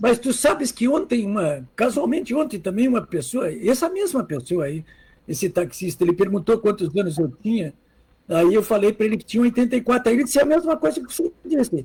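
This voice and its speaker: A high-pitched man speaks at a fairly quick pace. His pitch swings very widely. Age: 80s+. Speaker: political journalist. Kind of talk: casual chat.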